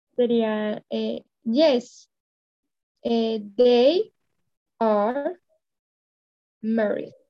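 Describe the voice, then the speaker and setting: A woman with a Spanish accent speaks at a very slow pace with long, frequent pauses. Her fairly high voice has a dark, mellow tone and ordinary pitch variation. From Colombia. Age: 20s. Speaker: English student. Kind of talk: language lesson. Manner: halting.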